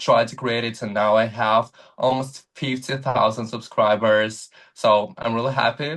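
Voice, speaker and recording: A man talks with a Russian accent. His pace is fairly slow. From Ukraine, Donetsk region. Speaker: content creator. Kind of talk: interview. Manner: halting, with fillers.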